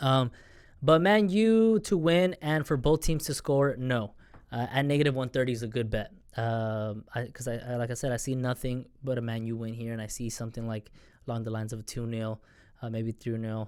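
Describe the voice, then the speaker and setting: An animated tone at a moderate pace with ordinary pitch variation. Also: man, medium pitch for a man. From United States. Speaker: sports betting YouTuber. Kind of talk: casual monologue. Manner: halting, many fillers and restarts; casual, animated.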